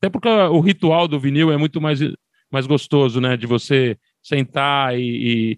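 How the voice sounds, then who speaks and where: A man talks in a plain, everyday voice, fairly high in pitch, with ordinary pitch variation. The sound is dry and close with no echo, over a quiet background. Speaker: music podcaster. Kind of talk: casual chat.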